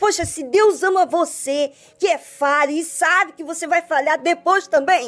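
At a fairly slow pace, a woman speaks with an extremely high pitch. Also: ordinary pitch variation. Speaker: radio host. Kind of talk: devotional radio talk.

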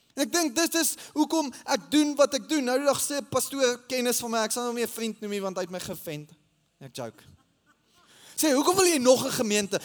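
A man talks at an extremely high pitch, with ordinary pitch variation. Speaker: pastor. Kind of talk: sermon. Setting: church. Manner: halting.

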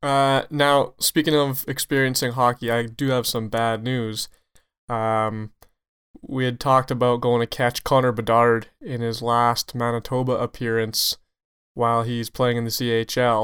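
A man with a Canadian accent talks fairly slowly at a medium pitch, his intonation monotone and flat, in a very clean recording with a silent background. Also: dry, close sound with no echo. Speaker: hockey referee podcast host. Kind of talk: casual chat.

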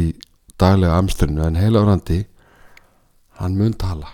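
A man speaks in a very deep, low voice with a dark, mellow tone. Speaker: lay preacher. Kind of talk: sermon.

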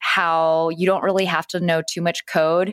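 In a very clean recording with a silent background and a dry, close sound with no echo, a woman with a plain, everyday voice talks at a moderate pace, her fairly low pitch held in fairly even intonation. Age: 30s. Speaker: Instagram expert and influencer. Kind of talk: casual interview chat.

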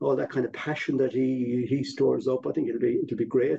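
A man speaks with a western Irish accent. His pace is moderate. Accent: Irish (west of Ireland). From Ireland, Galway. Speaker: former football club chairman. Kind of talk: casual chat.

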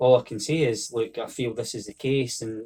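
Somewhat breathy male speech in a Scottish accent, with fairly even intonation. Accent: Scottish (Fife). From Scotland, Fife (Oakley). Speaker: football coach. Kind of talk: interview.

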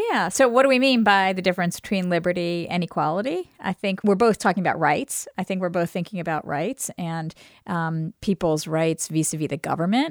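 An unremarkable speaking voice from a woman with an American accent, fairly low in pitch, with ordinary pitch variation, fairly quick with hardly any pauses, in a dry, close sound with no echo. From New York, Brooklyn. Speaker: law school dean, podcast co-host. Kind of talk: casual conversation. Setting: studio.

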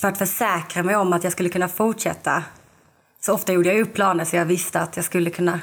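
At a fairly quick pace yet with long, frequent pauses, a woman of medium pitch speaks in a monotone, flat intonation. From southern Sweden, Lund. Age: 20s. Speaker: podcast guest, recovering alcoholic. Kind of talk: casual interview, personal testimony.

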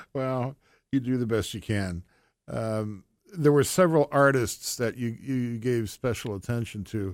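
Talking at a fairly slow pace in a plain, everyday voice, a man keeps a medium pitch with ordinary variation on a very clean recording with a silent background. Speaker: radio host. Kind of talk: casual interview.

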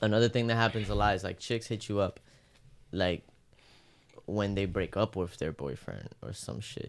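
Using vocal fry, a man speaks at a fairly low pitch with ordinary pitch variation and long, frequent pauses. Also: moderate pace. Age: 20s. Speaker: podcast co-host. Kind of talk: casual chat.

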